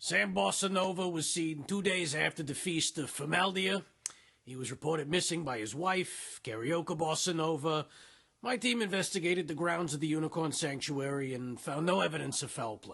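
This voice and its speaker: Against a quiet background, a man puts on a raspy character voice at a fairly high pitch and a moderate pace. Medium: stage play. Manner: deadpan.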